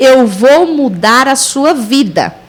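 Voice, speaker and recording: Lively intonation from a woman with a high voice, plus audible room echo and noticeable background noise. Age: 40s. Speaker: missionary. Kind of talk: testimony.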